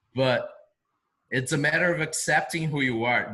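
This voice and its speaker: A man with a non-native accent and a bright, sharp tone at fairly high pitch. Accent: noticeable foreign. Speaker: video marketing business owner. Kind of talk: interview.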